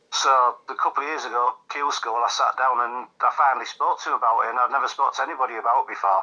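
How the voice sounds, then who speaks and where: Speaking at a fairly quick pace, a man uses a Yorkshire accent. His medium-pitched voice has a bright, sharp tone. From Yorkshire, England. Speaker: darts player. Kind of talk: casual interview.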